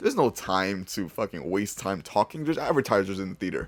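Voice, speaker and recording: A man speaks very fast in a fairly low voice. His intonation is lively. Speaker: YouTuber, movie reviewer. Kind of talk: casual video review. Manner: casual, profane.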